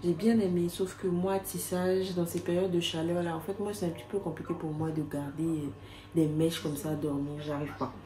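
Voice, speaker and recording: Audible room echo surrounds a woman speaking at a moderate pace, with a fairly low pitch and fairly even intonation. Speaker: vlogger. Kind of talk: casual vlog talk to camera. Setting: outdoors. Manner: soft-spoken.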